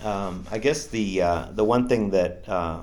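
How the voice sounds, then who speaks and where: A man speaks at a fairly low pitch. The room echo is audible. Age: 60s. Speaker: ultrarunner vlogger. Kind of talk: vlog update. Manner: halting, many fillers.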